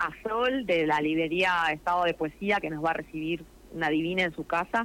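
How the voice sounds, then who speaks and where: Speaking at a fairly quick pace, a woman has a fairly low pitch and ordinary pitch variation. It's an unremarkable speaking voice. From Argentina, Neuquén province. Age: 40s. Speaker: theatre actress. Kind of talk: radio interview.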